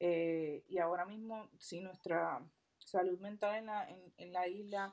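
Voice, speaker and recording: In a Puerto Rican accent, a woman speaks at a medium pitch with fairly even intonation. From Puerto Rico. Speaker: fashion designer. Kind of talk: casual interview conversation.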